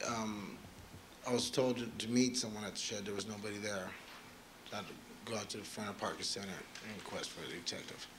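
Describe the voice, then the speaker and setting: A fairly low-pitched man at a fairly quick pace, with long, frequent pauses, monotone, flat intonation, audible room echo and noticeable background noise. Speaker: tow truck driver, trial witness. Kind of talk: courtroom testimony. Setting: courtroom. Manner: soft-spoken.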